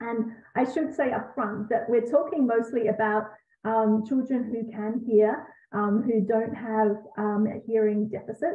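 With an Australian accent, a woman speaks at a fairly slow pace with fairly high pitch and fairly even intonation, and audible room echo surrounds her. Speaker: Montessori educator and parenting author. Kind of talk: live Q&A. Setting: video call. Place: home room. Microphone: webcam.

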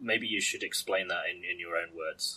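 A man speaks with a British accent. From UK. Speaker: podcast host. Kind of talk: casual chat. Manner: halting.

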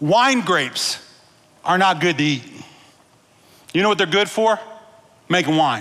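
A man speaks at a high pitch with a bright, sharp tone. His intonation is lively.

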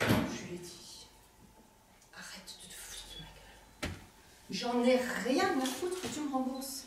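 Amid loud background noise and audible room echo, a woman speaks at a fairly slow pace. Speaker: stage actor. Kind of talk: theatrical monologue. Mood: angry, distressed retelling. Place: stage. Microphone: camera far.

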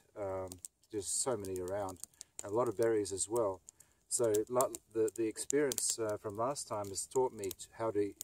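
A man's dark, mellow voice at a moderate pace, dry with no echo, over light background noise. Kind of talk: casual vlog chat. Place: forest.

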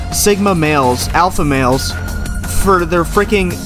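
Clear music in the background behind a male speaker at a fairly slow pace. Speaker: gamer reacting to a movie trailer. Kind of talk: casual reaction rant to camera.

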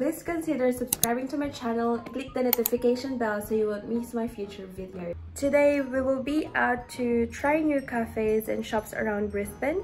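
Faint music plays behind a woman who speaks at a high pitch and moderate pace with hardly any pauses and ordinary pitch variation. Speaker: vlogger. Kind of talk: casual vlog chat. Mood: cheerful, upbeat. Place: home room. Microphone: phone near.

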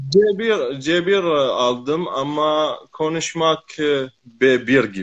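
Against a quiet background, a man with an Arabic accent speaks at a very slow pace, his fairly high pitch carried by lively intonation. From Iraq, Maysan; Iraq. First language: Arabic (speaking Turkish). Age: 20s. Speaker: Turkish learner. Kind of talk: casual conversation practice. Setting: live video call from home. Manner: halting. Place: home room.

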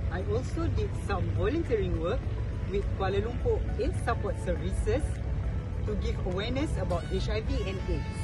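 Moderate pace with loud music in the background. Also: man. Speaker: job applicant. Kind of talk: video job application. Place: garden.

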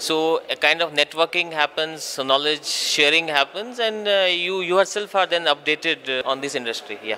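Talking at a moderate pace with hardly any pauses, a man shows ordinary pitch variation over light background noise. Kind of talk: interview answer. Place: hall. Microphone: handheld.

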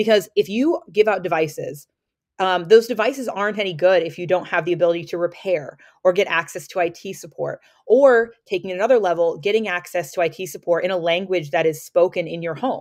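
A woman talks at a fairly quick pace with ordinary pitch variation. The background is quiet. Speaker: education policy advocate. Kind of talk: podcast interview. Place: home room. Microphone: webcam.

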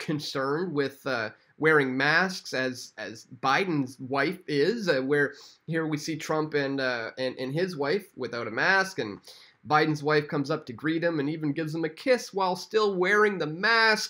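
A man with a Canadian accent, a fairly high pitch and a bright, sharp tone, at a fairly slow pace with ordinary pitch variation over a quiet background. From Canada. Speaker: independent online news commentator. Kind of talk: political commentary video. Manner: frequent fillers and hesitations. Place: home room.

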